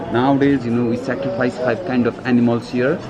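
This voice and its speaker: Against noticeable background noise and audible room echo, a man talks at a medium pitch. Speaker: local tour guide. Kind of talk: guided explanation.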